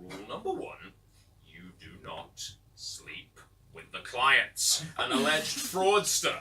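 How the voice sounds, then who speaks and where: A man with an English accent speaks at a very slow pace, with big swings in loudness and noticeable background noise. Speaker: poet. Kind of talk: live poetry reading. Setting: live bar audience.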